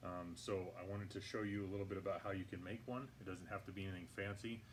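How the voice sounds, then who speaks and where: Speaking at a fairly quick pace, a man with a fairly low pitch and ordinary pitch variation is heard with audible room echo. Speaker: hydroponics gardening channel host. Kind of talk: tutorial. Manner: halting, many fillers; talking louder than usual. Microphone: poor audio, may sound quiet.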